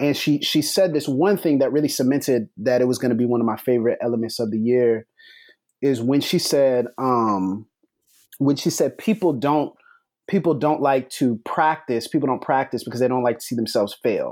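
A normal speaking voice at a moderate pace, with ordinary pitch variation, very even loudness, and a very clean recording over a silent background. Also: man, medium pitch for a man. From Florida Panhandle, Pensacola. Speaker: podcast host and writer. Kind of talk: casual panel discussion.

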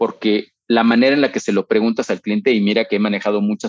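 A man's normal speaking voice at a fairly quick pace, with ordinary pitch variation and a dry, close sound with no echo. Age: 40s. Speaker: retail operations executive. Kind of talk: interview.

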